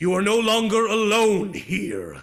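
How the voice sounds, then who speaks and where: In a gruff, put-on character voice, a man speaks at a very slow pace. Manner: stern, commanding, scolding.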